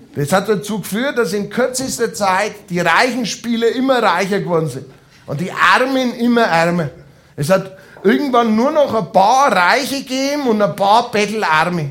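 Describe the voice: With lively intonation and a fairly bright tone, a man speaks at high pitch and a moderate pace.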